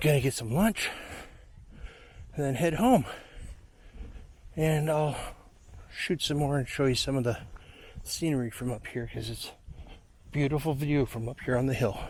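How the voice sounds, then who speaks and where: A somewhat breathy man's voice with fairly high pitch, ordinary pitch variation, a moderate pace and long, frequent pauses. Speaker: video blogger giving a walking tour. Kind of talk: casual tour narration. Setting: outdoors at a historic fort. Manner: soft-spoken, talking quietly.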